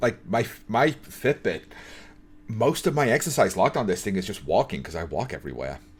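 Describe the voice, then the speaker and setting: Vocal fry marks this man's medium-pitched voice. He talks at a fairly quick pace with very wide pitch swings. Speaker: YouTuber reacting to a documentary. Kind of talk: reaction commentary. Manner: stutters when improvising on camera.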